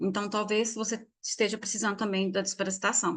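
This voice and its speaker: A woman's fairly high-pitched voice at a fairly quick pace over a quiet background. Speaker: essential oils teacher. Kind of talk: online class. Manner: fast.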